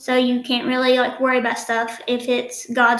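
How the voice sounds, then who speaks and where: A woman's high-pitched voice in a strong Southern US accent, at a moderate pace, with audible room echo. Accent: strong country Southern. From Eastern Kentucky. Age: 20s. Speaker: nursing student and social media influencer. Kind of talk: podcast interview.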